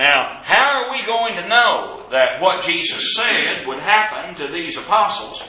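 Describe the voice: Amid strong room echo, a man with a Southern US accent speaks at a fairly slow pace in a high, bright, sharp voice with big pitch swings.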